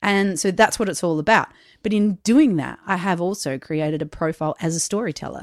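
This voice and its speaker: A woman with an Australian accent speaks at a fairly quick pace and a fairly low pitch, with ordinary pitch variation. The recording is very clean and silent in the background, with a dry, close sound and no echo. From South Australia. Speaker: podcaster and storyteller. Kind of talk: casual interview.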